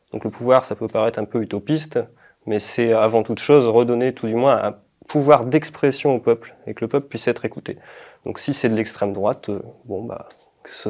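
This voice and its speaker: A man with a medium pitch talks at a fairly quick pace, with big swings in loudness. The recording is very clean, with a silent background. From northern France, Pas-de-Calais. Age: 20s. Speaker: political candidate and activist. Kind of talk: interview. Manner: hesitant, many fillers.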